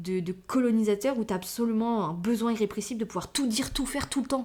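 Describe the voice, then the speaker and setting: The woman's pitch sits fairly high and varies in an ordinary way. She talks very fast. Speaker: podcast host. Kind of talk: casual monologue. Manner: filler-heavy; animated.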